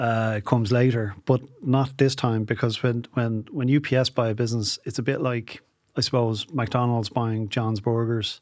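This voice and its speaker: A man speaks with an Irish accent at medium pitch. His intonation is fairly even on a very clean recording with a silent background. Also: moderate pace. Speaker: entrepreneur. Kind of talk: interview.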